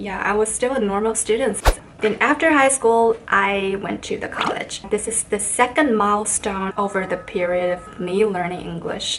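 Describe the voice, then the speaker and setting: A woman speaks with a Chinese accent at a medium pitch and a moderate pace, with ordinary pitch variation. Noticeable noise sits in the background. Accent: Chinese accent, non-native speaker. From China. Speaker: vlogger. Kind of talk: casual vlog talk.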